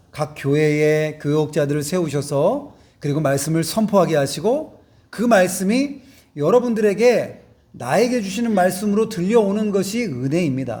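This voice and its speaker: Against audible room echo, a man with a high pitch and a dark, mellow tone talks at a fairly slow pace with lively intonation. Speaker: pastor. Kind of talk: sermon. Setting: church.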